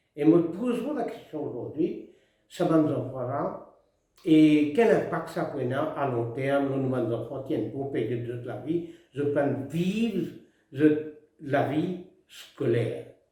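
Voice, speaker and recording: Lively intonation at a very slow pace, broken by long, frequent pauses. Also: man, fairly high pitch for a man. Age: 80s+. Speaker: retired politician. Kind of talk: address to the nation.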